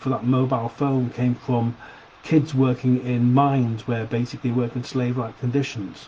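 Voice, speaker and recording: A man with a Sheffield accent, medium pitch, and moderate pace, over noticeable background noise. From Sheffield, England. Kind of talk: opinion video to camera. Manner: casual, hesitant.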